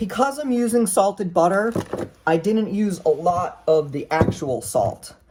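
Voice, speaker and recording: A woman's voice moves through very wide pitch swings. Noticeable background noise runs underneath. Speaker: home cook vlogger. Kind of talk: cooking tutorial. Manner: fast; casual, rambling with fillers.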